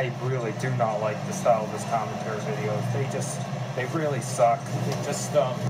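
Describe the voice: Background noise is clear as a man talks at a moderate pace. His medium-pitched voice keeps fairly even intonation.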